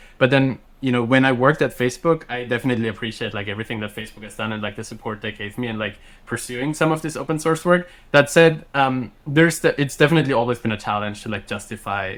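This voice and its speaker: A man with a German accent talks at a very fast pace and a medium pitch. His loudness swings a lot, while his pitch varies in an ordinary way. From Austria, countryside. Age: 30s. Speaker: software engineer and startup founder. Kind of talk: podcast interview. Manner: conversational, many fillers and restarts.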